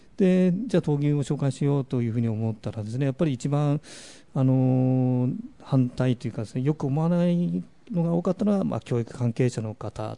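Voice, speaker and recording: This man has a dark, mellow tone. His intonation is lively. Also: medium pitch for a man, moderate pace. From Miyagi, Japan (Kesennuma). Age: middle-aged. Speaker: bullfighting researcher and radio presenter. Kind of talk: radio talk. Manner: frequent fillers and hesitations.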